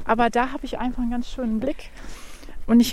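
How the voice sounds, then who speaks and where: A woman talks with an ordinary speaking voice. She speaks at a fairly quick pace with a fairly high pitch. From Germany, Wuppertal. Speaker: gardener and garden designer. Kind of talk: casual interview on a garden walk. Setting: outdoors in snowy nursery garden.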